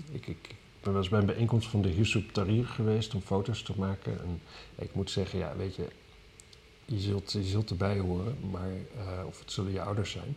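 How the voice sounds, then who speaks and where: Fairly low in pitch and somewhat breathy, a man talks with fairly even intonation. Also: moderate pace. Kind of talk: casual chat about weekly news.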